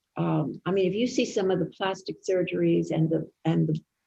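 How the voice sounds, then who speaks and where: A woman speaks at a fairly slow pace. Her tone is dark and mellow, with vocal fry. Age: 80s+. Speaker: psychotherapist, actress, talk show host. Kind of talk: interview answer.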